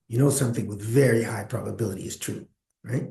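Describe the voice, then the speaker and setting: A man speaks at a very fast pace in a dark, mellow, somewhat breathy voice of medium pitch, with fairly even intonation. Audible room echo surrounds him. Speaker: statistics professor. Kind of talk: lecture.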